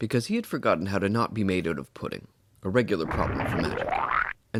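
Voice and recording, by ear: Someone can be heard reading aloud in a natural voice.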